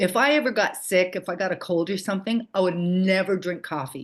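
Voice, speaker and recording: A woman talks in an ordinary speaking voice at a medium pitch. Her pace is moderate, with ordinary pitch variation. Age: 60s. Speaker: childbirth educator. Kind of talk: casual chat.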